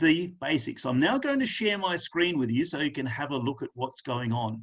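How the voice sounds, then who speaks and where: A man with an Australian accent speaks at a moderate pace, his pitch swinging very widely. The background is quiet. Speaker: lymphedema specialist presenter. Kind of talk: webinar presentation.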